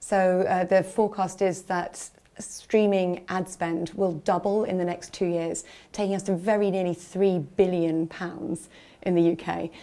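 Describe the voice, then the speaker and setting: Speaking fairly slowly with a British accent, a woman's medium-pitched voice has a dark, mellow tone and monotone, flat intonation. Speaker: ad tech executive. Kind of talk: interview. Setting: industry conference.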